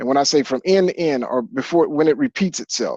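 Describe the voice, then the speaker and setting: Here a man with a plain, everyday voice talks at a fairly quick pace with lively intonation, the sound dry and close with no echo over a quiet background. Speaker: physics teacher. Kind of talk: classroom lecture.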